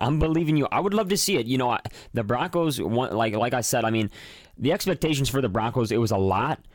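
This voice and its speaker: Speaking at a very fast pace, a man with an American accent uses a medium pitch and lively intonation. His loudness stays very even. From Chicago northwest suburbs. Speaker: sports podcast host. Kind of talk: casual chat.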